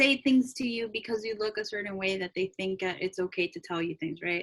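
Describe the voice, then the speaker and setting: A woman with a Spanish accent talks with hardly any pauses. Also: dry, close sound with no echo. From Salvadoran-American, raised in US. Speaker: podcast co-host. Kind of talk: casual chat. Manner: hesitant, many fillers.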